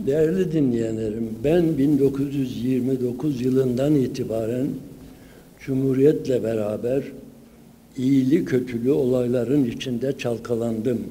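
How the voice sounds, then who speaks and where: A man speaks at a fairly slow pace in a dark, mellow tone. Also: ordinary pitch variation. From Sivas, Turkey; Turkey. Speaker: folklore professor. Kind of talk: conference lecture. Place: hall. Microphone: podium.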